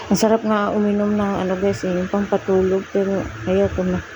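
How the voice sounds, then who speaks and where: Against noticeable background noise, a woman speaks at medium pitch with monotone, flat intonation. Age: 40s. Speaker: vlogger. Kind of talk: casual workout vlog.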